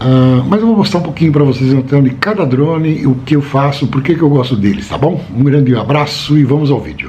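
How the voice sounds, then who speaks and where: Speaking at a fairly quick pace, a medium-pitched man uses ordinary pitch variation amid audible room echo and noticeable background noise. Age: 60s. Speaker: drone hobbyist vlogger. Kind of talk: casual show-and-tell vlog. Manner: relaxed, conversational with filler words.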